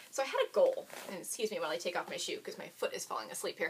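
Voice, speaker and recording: Noticeable background noise is present. A woman talks over it. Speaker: knitting podcaster. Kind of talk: casual podcast chat. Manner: fast.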